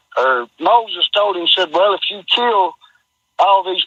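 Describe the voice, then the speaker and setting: The voice carries an Appalachian accent. Its pace is moderate and its pitch variation ordinary. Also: man. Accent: Appalachian hillbilly. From Kentucky, US South. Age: 50s. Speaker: caller. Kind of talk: phone-in question. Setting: phone call. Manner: halting, stammering.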